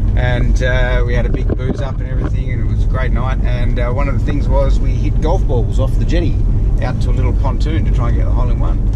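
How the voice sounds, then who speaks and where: Very fast speech from a man against loud background noise. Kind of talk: casual vlog chat. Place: car. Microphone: phone near.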